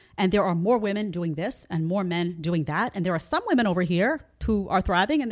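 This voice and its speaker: With an American accent and an unremarkable speaking voice, a woman talks at a fairly quick pace with lively intonation. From New York City. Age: 40s. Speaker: podcast host. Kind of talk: debate. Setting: studio.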